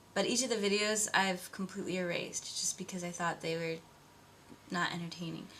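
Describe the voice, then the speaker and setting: With an American accent, a woman speaks in a plain, everyday voice at medium pitch, a fairly quick pace and fairly even intonation. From US Midwest (Iowa, Wisconsin). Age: 20s. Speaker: video blogger. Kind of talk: casual personal vlog.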